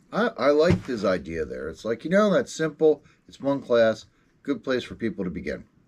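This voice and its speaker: Here a man speaks at a fairly quick pace. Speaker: RC racing podcast host. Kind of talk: casual chat.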